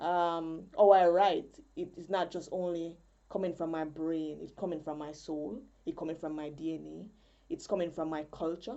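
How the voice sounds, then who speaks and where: A woman with a Jamaican accent, fairly low in pitch, at a moderate pace with ordinary pitch variation. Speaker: poet and spoken word artist. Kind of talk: conference presentation.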